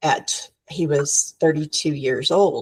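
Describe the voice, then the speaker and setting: This is a woman's voice. The sound is dry and close, with no echo. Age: 60s. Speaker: business founder. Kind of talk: podcast interview.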